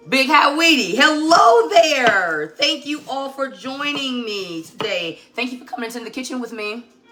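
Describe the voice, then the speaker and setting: Over music in the background, a woman uses a raised, projected voice with a high pitch, very wide pitch swings, and big swings in loudness, speaking at a moderate pace with hardly any pauses. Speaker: cooking livestream host. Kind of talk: live cooking demonstration. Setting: home kitchen livestream. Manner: casual, chatty.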